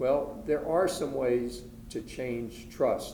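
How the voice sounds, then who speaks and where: A man talks at a medium pitch with ordinary pitch variation and vocal fry. His tone is dark and mellow, and the room echo is audible. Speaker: estate planning attorney presenter. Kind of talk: lecture. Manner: soft-spoken.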